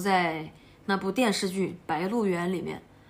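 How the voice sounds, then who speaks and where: In a southern Shaanxi accent, a woman speaks at a moderate pace. Her intonation stays fairly even. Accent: Sichuan-like southern Shaanxi dialect. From Shaanxi, Ankang (southern Shaanxi). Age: 20s. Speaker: motorcycle traveller vlogger. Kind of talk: casual travel vlog talk. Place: home room. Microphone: phone near.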